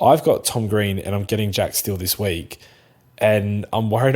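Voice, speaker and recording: The recording is very clean with a silent background. A man with a South Australian accent speaks at a moderate pace and a fairly low pitch. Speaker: fantasy football podcast co-host. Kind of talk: casual chat.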